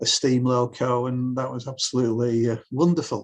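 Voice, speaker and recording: A man talks at a moderate pace in a Lancashire accent. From northern England (Bolton, Lancashire). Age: 60s. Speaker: author and historian. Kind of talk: interview conversation.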